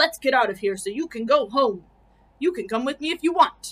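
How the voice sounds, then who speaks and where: A woman puts on a character voice pitched high. She moves along at a fairly quick pace. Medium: read story.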